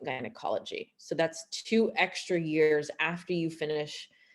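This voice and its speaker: With a Canadian accent and a normal speaking voice, a woman talks at a moderate pace with fairly low pitch and ordinary pitch variation, on a very clean recording with a silent background. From Canada, Montreal. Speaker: gynecologist. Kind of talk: presentation.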